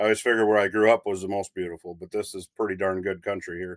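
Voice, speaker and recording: On a very clean recording with a silent background and a dry, close sound with no echo, a man speaks at a very fast pace in a fairly low pitch. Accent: Upper Midwest. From North Dakota, USA. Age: old. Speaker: livestock auctioneer. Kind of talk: casual interview answer.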